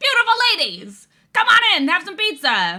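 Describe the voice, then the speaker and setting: A squeaky, put-on character voice from a woman at an extremely high pitch, in an Italian accent, at a moderate pace. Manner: inviting, salesy.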